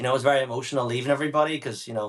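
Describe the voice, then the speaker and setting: A man with a Northern Irish accent speaks with fairly even intonation. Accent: Northern Irish (Belfast). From Northern Ireland, Belfast. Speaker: business owner. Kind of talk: interview. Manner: casual.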